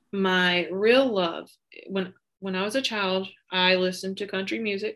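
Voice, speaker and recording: A woman's medium-pitched, bright, sharp voice with a Southern US accent at a moderate pace against a quiet background. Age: 30s. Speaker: podcast guest, school worker. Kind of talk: casual chat.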